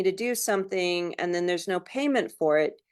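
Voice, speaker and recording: In a quiet background, a woman with a normal speaking voice talks at a medium pitch and a moderate pace. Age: 60s. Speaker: Native business owner, store owner. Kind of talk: panel discussion answer. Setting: webinar.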